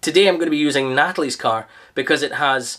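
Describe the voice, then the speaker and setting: The background stays quiet while a man talks. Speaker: car detailing reviewer. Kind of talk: product review talk. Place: garage. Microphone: camera far.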